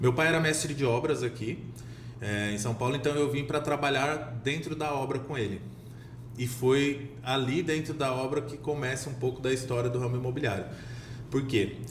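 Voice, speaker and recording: A man speaks at a moderate pace and medium pitch with fairly even intonation and long, frequent pauses. Audible room echo and noticeable background noise fill the recording. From Minas Gerais, Brazil. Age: 30s. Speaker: real estate sales director. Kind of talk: podcast interview.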